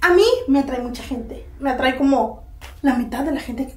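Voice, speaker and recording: The woman speaks in a high voice with ordinary pitch variation. Audible room echo is present. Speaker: actress in a comedy sketch. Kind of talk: scripted comedic dialogue. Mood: teasing, dismissive, playful.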